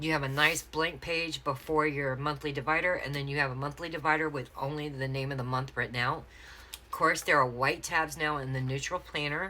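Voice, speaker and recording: With an American accent, a woman speaks at a fairly quick pace in a very deep, low pitch with a bright, sharp tone. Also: fairly even intonation. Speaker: planner sticker shop owner. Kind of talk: unboxing tutorial. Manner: fast; hesitant fillers.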